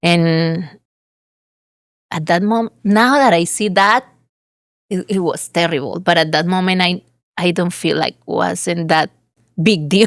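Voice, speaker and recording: A woman with a Colombian accent, fairly low in pitch, at a fairly slow pace with ordinary pitch variation and long, frequent pauses. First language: Spanish. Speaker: real estate agent. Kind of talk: interview. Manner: halting.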